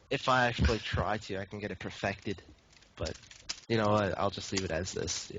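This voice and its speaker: Noticeable background noise behind a man's fairly quick speech, his pitch varying ordinarily. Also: fairly low pitch for a man. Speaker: esports caster. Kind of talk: live game commentary chat. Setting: live stream.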